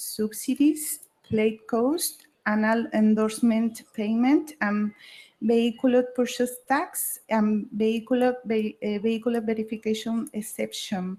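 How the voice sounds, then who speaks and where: A somewhat breathy delivery at a very slow pace, with a Mexican accent and ordinary pitch variation. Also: woman. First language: Spanish. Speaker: state government official. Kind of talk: conference presentation. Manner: halting.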